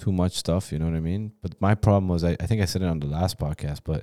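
A man talks at a fairly quick pace. His voice is very deep and low, with a dark, mellow tone. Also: very clean recording, silent background. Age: 30s. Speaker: podcast co-host. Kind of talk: casual chat.

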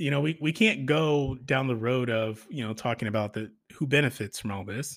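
On a very clean recording with a silent background, a man talks at a fairly slow pace in a medium pitch with ordinary pitch variation. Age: 30s. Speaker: podcast host. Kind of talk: solo commentary monologue. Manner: halting, many fillers and repetitions.

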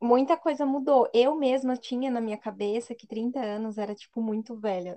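This woman has a plain, everyday voice, fairly high in pitch, with fairly even intonation at a moderate pace. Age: 20s. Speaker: podcast co-host. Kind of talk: casual chat.

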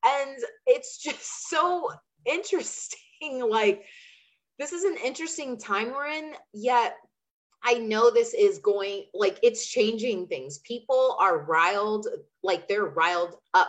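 A woman's high-pitched voice at a very slow pace with very wide pitch swings. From Chandler, Arizona (US Southwest). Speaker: energy healer and business coach. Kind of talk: casual interview chat.

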